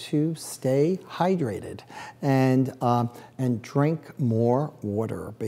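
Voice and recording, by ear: A woman with a New York accent speaks in a very deep, low pitch. Her intonation is lively and her tone dark and mellow.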